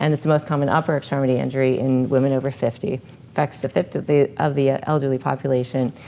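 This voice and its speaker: A woman with an American accent speaks at a very fast pace with a very deep, low pitch and a dark, mellow tone. Her intonation is monotone and flat, and her loudness stays very even. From Illinois, US Midwest. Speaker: orthopedic hand surgeon. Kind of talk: medical lecture.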